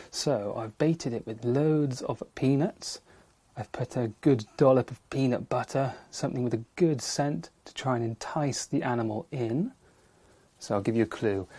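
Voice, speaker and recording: Quiet and somewhat breathy, a man speaks in a dark, mellow tone at a medium pitch with ordinary pitch variation. His loudness swings widely in a dry, close sound with no echo. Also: moderate pace. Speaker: wildlife TV presenter. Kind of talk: nature presenting to camera. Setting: in a wildlife hide. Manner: speaking quietly.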